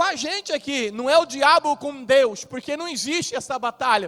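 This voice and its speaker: Amid noticeable background noise, a man with an extremely high pitch talks in an animated tone at a moderate pace with ordinary pitch variation, the sound dry and close with no echo. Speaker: pastor. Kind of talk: sermon.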